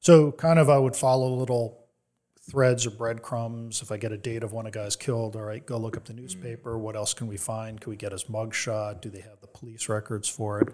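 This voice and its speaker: On a very clean recording with a silent background, a man with an American accent speaks in an unremarkable speaking voice at a medium pitch, his intonation fairly even but his loudness swinging widely. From New Jersey. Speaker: author and organized crime historian. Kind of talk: interview.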